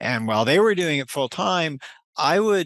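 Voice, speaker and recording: Against a quiet background, a man speaks in a fairly high pitch with very wide pitch swings. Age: 60s. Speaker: business owner selling software company. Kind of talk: interview. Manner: halting, with many repetitions.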